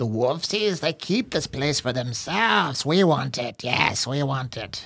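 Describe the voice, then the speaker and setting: This man uses a put-on character voice at a medium pitch. He speaks at a fairly slow pace. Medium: actual play. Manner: broken speech, talks of himself in third person; frightened, pleading, eager to bargain.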